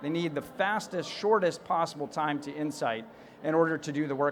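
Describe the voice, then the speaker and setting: The delivery has a fairly quick pace. It comes with an American accent. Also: man. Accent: American accent (to a UK audience). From United States. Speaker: tech company CEO, conference speaker. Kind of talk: conference keynote.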